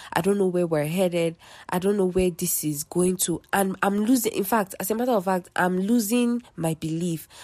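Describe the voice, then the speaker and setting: In a very clean recording with a silent background, a woman of medium pitch speaks in a confident, dark, mellow tone at a moderate pace with ordinary pitch variation. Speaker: podcast host. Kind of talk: faith-based solo talk. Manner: casual.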